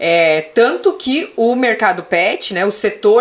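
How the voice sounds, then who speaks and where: A woman speaks in a fairly high voice that swings very widely in pitch. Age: 30s. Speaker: animal rights lawyer. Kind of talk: casual interview chat.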